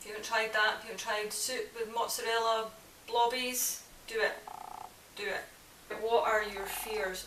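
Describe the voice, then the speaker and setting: A woman with a Scottish accent talks fairly slowly in a fairly high, monotone, flat voice. Her loudness swings widely, and background noise is noticeable. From Scotland. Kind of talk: casual talk to camera.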